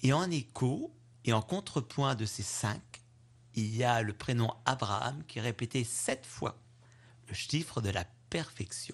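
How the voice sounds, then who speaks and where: A man speaks at a very slow pace, with long, frequent pauses. His medium pitch varies in an ordinary way, and the voice is somewhat breathy. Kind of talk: homily, a spoken Gospel commentary, reflective and pastoral. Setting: radio studio interview. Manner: earnest, measured, explanatory, warm.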